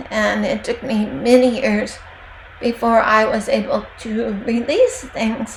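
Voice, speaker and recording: Noticeable background noise sits behind a woman who talks at a very slow tempo. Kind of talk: devotional talk.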